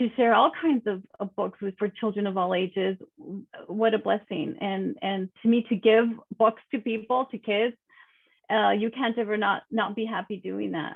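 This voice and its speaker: Speaking in an American accent, a woman with a plain, everyday voice talks at a moderate pace, her fairly high pitch rising and falling with ordinary variation. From Texas, El Paso. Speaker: children's author and entrepreneur. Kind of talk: interview.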